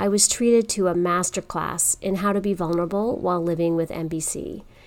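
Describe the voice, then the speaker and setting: In a very clean recording with a silent background, a woman uses a normal speaking voice at medium pitch and a moderate pace. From Canada. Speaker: podcast host. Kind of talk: podcast hosting.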